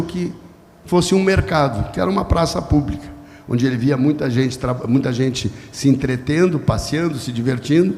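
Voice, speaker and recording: A man at a moderate pace, ordinary pitch variation, with audible room echo. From southern Brazil, Porto Alegre. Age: 60s. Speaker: journalist and media executive. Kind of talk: podcast interview before live audience. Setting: stage with audience.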